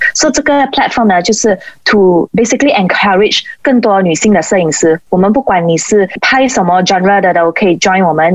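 The pace is fairly quick. Background noise can be noticed throughout. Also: woman. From Malaysia. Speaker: sports photographer and former figure skater. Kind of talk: interview.

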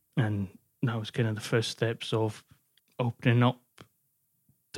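A man with a Glasgow accent speaks at a moderate pace in a monotone, flat intonation. The sound is dry and close, with no echo. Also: very clean recording, silent background. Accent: Scottish (Glasgow area). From Scotland, partly raised in North Wales. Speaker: sports journalist. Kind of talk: personal testimony interview.

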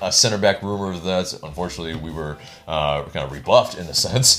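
A man's voice amid noticeable background noise. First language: not Spanish. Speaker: soccer podcast co-host. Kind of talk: casual chat. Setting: video recording. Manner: halting, many fillers.

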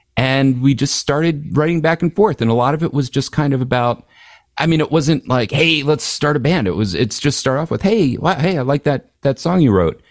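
In a very clean recording with a silent background, a man with an American accent talks at a fairly quick pace. He has a normal speaking voice, a fairly high pitch, ordinary pitch variation and very even loudness. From Philadelphia, Pennsylvania. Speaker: musician and author. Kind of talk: casual interview chat.

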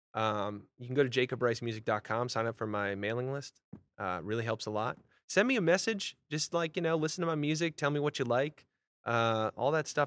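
With a plain, everyday voice, a man speaks at medium pitch and a fairly quick pace with ordinary pitch variation, the sound dry and close with no echo on a very clean recording with a silent background. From Vermont, US. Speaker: singer-songwriter. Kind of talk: casual interview chat.

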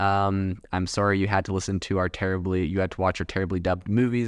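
Against a quiet background, a man with fairly low pitch uses an ordinary speaking voice at a fairly quick pace. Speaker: podcast host. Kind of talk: solo podcast monologue about AI news. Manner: casual, filler words, conversational.

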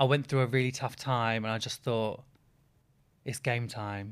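Fairly even intonation and a moderate speed from a male speaker. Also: very clean recording, silent background. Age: 20s. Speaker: reality TV personality. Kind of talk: casual chat.

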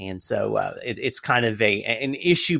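A man's medium-pitched, bright, sharp voice with lively intonation at a moderate pace, dry and close with no echo, on a very clean recording with a silent background. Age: 50s. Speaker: think tank communications director and author. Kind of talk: interview.

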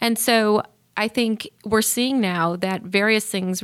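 Speaking in a plain, everyday voice, a woman keeps a medium pitch with ordinary pitch variation. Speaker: mental health CEO and physician. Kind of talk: interview conversation.

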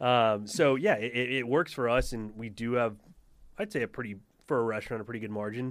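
A man at medium pitch with an American accent, a normal speaking voice, and fairly even intonation. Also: fairly quick pace, very clean recording, silent background. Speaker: restaurant owner. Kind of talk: casual chat.

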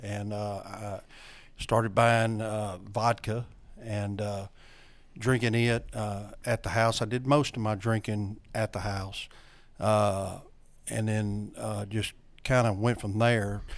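A man in a Louisiana accent speaks very slowly at a fairly low pitch, his intonation monotone and flat. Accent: Southern US (Louisiana). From North Louisiana. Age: 60s. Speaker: recovering alcoholic, AA sponsor. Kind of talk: personal testimony. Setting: studio.

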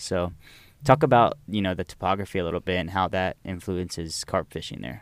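A man with fairly low pitch and fairly even intonation at a moderate pace, recorded very cleanly against a silent background, dry and close with no echo. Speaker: podcast host, college club president. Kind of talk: casual interview. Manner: halting.

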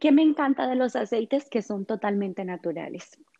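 The voice has a dark, mellow tone and moves at a fairly slow pace, with a dry, close sound and no echo. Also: woman. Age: 30s. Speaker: meditation teacher and essential oils advocate. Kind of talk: interview.

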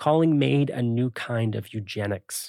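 With a normal speaking voice, a man talks at a medium pitch with ordinary pitch variation, the sound dry and close with no echo on a very clean recording over a silent background. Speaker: podcast host. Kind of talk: scripted narration and interview.

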